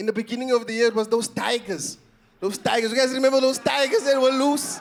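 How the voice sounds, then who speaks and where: A man with an animated tone at a fairly quick pace. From South Africa, Eastern Cape. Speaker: stand-up comedian. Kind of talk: stand-up. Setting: stage with audience.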